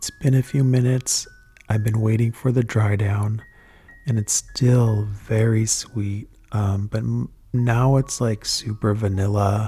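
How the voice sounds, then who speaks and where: A soft-spoken, somewhat breathy man at a fairly slow pace with monotone, flat intonation. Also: fairly low pitch for a man. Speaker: fragrance reviewer. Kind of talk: ASMR product review.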